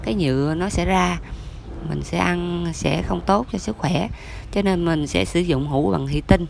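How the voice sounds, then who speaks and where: The speech moves at a fairly slow pace. Light background noise can be heard. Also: dry sound with no echo. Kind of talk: tutorial. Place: kitchen. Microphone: phone near.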